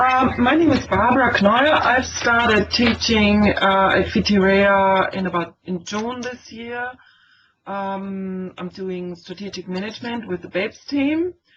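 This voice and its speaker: The woman talks at a fairly slow pace with ordinary pitch variation and big swings in loudness. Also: medium pitch for a woman. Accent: Austrian. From Austria. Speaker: teacher. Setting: online meeting. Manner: hesitant, many fillers.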